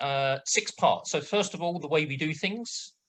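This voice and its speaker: Words come at a moderate pace. The accent is British. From Britain. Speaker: project management assessor. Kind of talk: webinar presentation. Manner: hesitant, many fillers; brisk pace.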